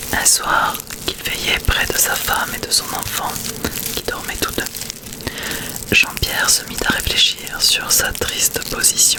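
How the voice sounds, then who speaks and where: A woman whispers in a soothing tone at a very slow pace, with long, frequent pauses and noticeable background noise. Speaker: ASMR creator. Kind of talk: audiobook-style reading of a classic tale. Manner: whispered, soft-spoken, slow, soothing.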